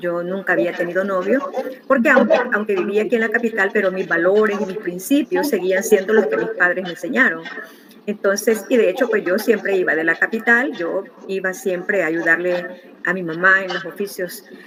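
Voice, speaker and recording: Against noticeable background noise, a woman at medium pitch speaks at a moderate pace with ordinary pitch variation. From El Salvador, rural. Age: 60s. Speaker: interviewee sharing life story. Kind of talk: interview testimony. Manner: halting, many fillers.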